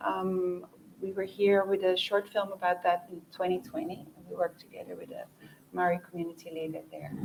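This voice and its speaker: A woman talks at a fairly quick pace, her loudness swinging widely over noticeable background noise. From Netherlands. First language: Dutch. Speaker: documentary producer. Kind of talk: panel discussion.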